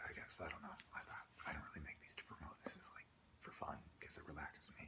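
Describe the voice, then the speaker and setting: A man's whisper at a moderate pace. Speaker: entrepreneur. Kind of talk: ASMR soft-spoken rambling to camera. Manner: soft-spoken.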